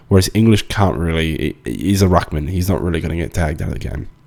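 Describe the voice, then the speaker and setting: A man with an Australian accent, very fast delivery and vocal fry. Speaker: fantasy football analyst. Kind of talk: casual talk to camera.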